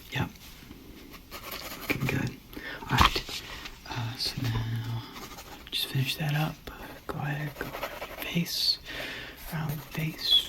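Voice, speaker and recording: Someone whispers at a fairly slow pace with long, frequent pauses amid noticeable background noise. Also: man. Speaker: artist character. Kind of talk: ASMR roleplay. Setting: home studio microphone. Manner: soft-spoken.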